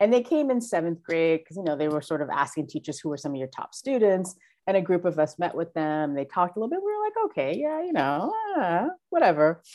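A woman's fairly low-pitched, very fast speech in a New York accent, with lively intonation. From Brooklyn, New York. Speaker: school diversity director and teacher. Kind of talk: interview.

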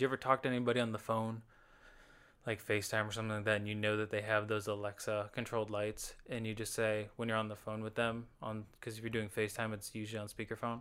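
A man's fairly low voice, very fast and monotone, with flat intonation. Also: very clean recording, silent background. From Alabama. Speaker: podcast co-host. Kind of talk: casual chat.

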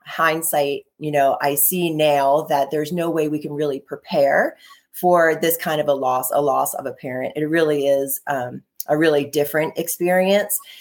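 A woman with an American accent, very deep and low in pitch, with fairly even intonation. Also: moderate pace. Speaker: intuitive energy healer and author. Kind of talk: casual interview chat.

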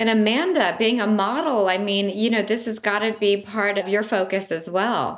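A woman with an unremarkable speaking voice talks at a moderate pace, pitched fairly high with ordinary variation. The recording is very clean, with a silent background. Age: 50s. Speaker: podcast co-host. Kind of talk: casual chat. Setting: studio.

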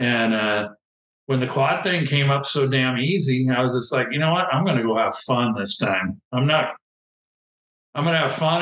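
With an American accent, a man speaks in a normal speaking voice at medium pitch and a moderate pace, with ordinary pitch variation and very even loudness. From Southern California. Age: 50s. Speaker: retired ATV and motocross racer. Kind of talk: casual interview.

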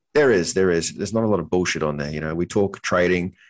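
A man's very deep, low voice with ordinary pitch variation against a quiet background. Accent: Australian. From North Queensland, Australia. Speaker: trading educator and construction superintendent. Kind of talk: casual interview.

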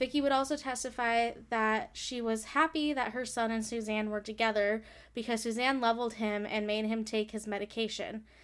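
A woman's normal speaking voice, fairly high in pitch, at a moderate pace with fairly even intonation and hardly any pauses, on a very clean recording with a silent background. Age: 20s. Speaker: true crime podcast host. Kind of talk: true crime narration.

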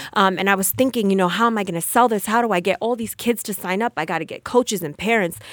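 Talking at a very fast pace with hardly any pauses, a woman speaks with an American accent. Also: medium pitch for a woman, ordinary pitch variation. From New Jersey, Passaic. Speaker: entrepreneur and sports agent. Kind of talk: interview conversation.

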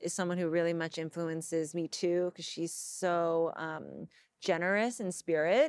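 In a very clean recording with a silent background, a woman with an American accent and an unremarkable speaking voice talks at a fairly slow pace and a fairly low pitch. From Los Angeles, US. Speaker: tv host and writer. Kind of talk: interview conversation. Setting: in person, Los Angeles.

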